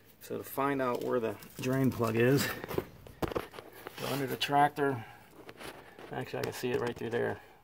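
At a moderate pace, the speech breaks into long, frequent pauses amid noticeable background noise. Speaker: DIY tractor owner. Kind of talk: tutorial. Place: street. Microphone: phone near.

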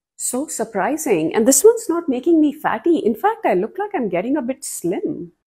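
Over a quiet background, a woman with a high pitch and a dark, mellow tone speaks at a moderate pace with very wide pitch swings. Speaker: nutrition content creator. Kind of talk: educational explainer to camera. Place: home room. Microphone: lapel.

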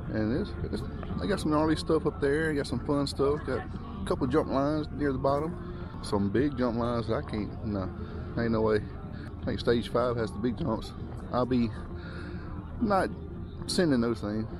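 Against noticeable background noise, a man talks at a moderate pace with long, frequent pauses, the sound dry with no echo. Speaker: mountain bike vlogger. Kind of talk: casual vlog chat. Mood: relaxed, a bit nervous. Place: open country. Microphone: phone near.

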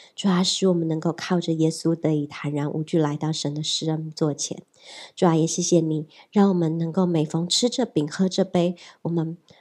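A woman's dark, mellow tone, fairly low in pitch, at a moderate pace with fairly even intonation over a quiet background. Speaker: pastor. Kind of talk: communion liturgy and announcements. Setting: church. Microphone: handheld.

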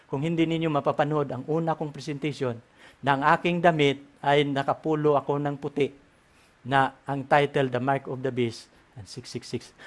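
The man's fairly high voice moves at a moderate pace in a monotone, flat intonation. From Philippines. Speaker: Bible prophecy teacher. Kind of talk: religious lecture; prayer. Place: home room. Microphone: headset.

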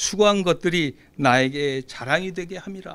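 A man speaks at a fairly slow pace with a bright, sharp tone and ordinary pitch variation. The background is quiet. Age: 60s. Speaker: preacher. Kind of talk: sermon. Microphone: podium.

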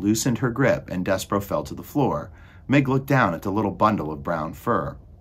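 The clip is a plain read-aloud passage.

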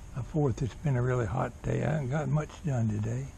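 The voice carries vocal fry. Its intonation stays fairly even. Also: man.

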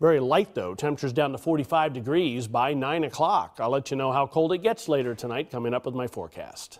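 With hardly any pauses, a man with an ordinary speaking voice talks at a fairly high pitch and a fairly quick pace. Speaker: weather forecaster. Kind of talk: weather forecast, conversational on-air delivery.

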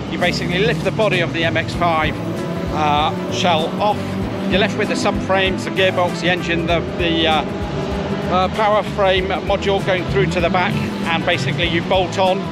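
Loud music plays behind a man who speaks at a moderate pace, his voice dry with no echo. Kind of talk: interview answer. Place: open country.

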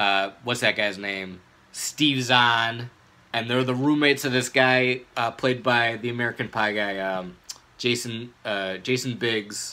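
A man's bright, sharp tone with fairly even intonation at a fairly slow pace. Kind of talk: casual vlog chat. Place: home room. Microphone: phone near.

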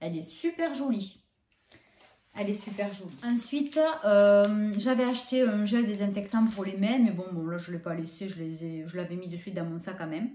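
A woman speaks at medium pitch with a dark, mellow tone, somewhat breathy, and lively intonation. Her pace is moderate, with audible room echo. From France. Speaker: YouTuber doing shopping hauls. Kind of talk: casual vlog haul presentation. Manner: hesitant, many fillers. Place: home room. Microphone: camera far.

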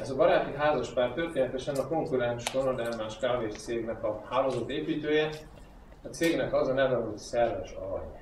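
Speech at a fairly quick pace comes through audible room echo and noticeable background noise. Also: man. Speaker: network marketing trainer. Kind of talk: training talk to audience. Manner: storytelling.

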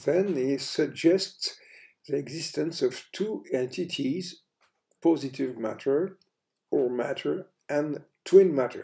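With a French accent, a man speaks at a very slow pace in a fairly high pitch with a dark, mellow tone. Pitch variation is ordinary, and the background is quiet. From France. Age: 80s+. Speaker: astrophysicist; presenter. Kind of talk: science lecture narration. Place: home room. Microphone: headset.

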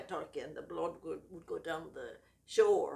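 A woman speaks with an Irish accent. Her pace is fairly slow. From Ireland. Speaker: grandmother. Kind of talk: interview answer. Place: home room. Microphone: camera far.

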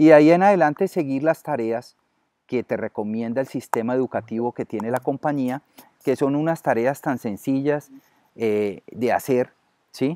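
A man's dark, mellow voice at a moderate pace, with ordinary pitch variation and a dry sound free of echo. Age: 50s. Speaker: network marketer. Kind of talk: interview. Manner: halting, many fillers. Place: garden. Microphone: webcam.

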